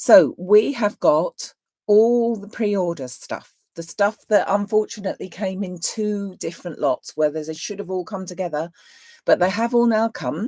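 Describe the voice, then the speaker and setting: A woman speaks in a British accent with a dark, mellow tone and medium pitch. Her loudness swings a lot, and the sound is dry and close with no echo. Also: ordinary pitch variation, moderate pace. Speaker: craft shop owner. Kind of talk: live stream chat. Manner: chatty.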